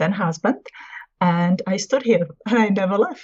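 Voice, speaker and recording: A somewhat breathy woman's voice with fairly even intonation and a Czech accent. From Czech Republic. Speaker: spiritual consultant and healer. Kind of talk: interview conversation.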